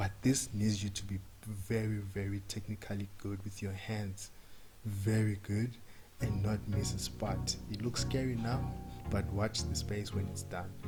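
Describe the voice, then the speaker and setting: A man's fairly low voice with ordinary pitch variation, at a fairly slow pace, music in the background. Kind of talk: humorous voiceover narration of a makeup video. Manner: casual, hesitant, joking.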